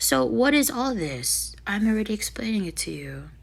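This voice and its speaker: Noticeable background noise behind a woman talking at moderate speed. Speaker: spiritual vlogger. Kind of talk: casual monologue. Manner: halting.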